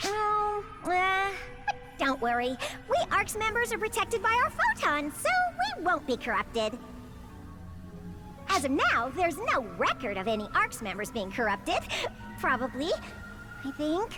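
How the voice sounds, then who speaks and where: Over loud background music, a woman does a cartoonish character voice, high-pitched and at a moderate pace. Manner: energetic, fast.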